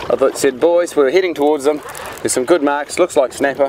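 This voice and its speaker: Speaking at a very fast pace with fairly even intonation, a man with a fairly high pitch sounds dry with no echo amid light background noise. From New Zealand. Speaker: fishing TV show host. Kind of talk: TV presenting with casual banter. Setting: outdoors on a boat. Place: boat.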